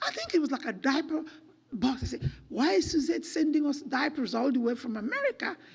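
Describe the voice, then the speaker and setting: Over noticeable background noise, a woman with a high pitch talks at a fairly quick pace in an animated tone with ordinary pitch variation. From Nigeria. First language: Nigerian native language. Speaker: children's home director. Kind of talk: church talk.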